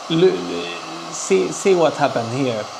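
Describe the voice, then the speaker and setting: A man with a Spanish accent at a fairly slow pace, with audible room echo and noticeable background noise. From southern Spain. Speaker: toy artist. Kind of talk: livestream chat. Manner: halting, many fillers.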